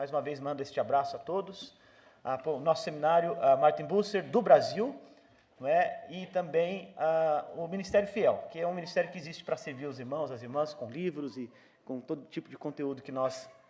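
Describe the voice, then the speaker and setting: A fairly high-pitched male voice at a moderate pace, ordinary pitch variation and big swings in loudness. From Brazil. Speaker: visiting pastor. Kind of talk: church greeting and prayer. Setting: church. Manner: hesitant, many fillers.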